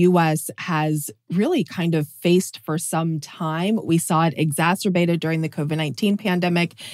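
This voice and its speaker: A woman's plain, everyday voice, fairly low in pitch, at a moderate pace with hardly any pauses, in a dry, close sound with no echo and a very clean recording over a silent background. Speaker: health reporter. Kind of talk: interview.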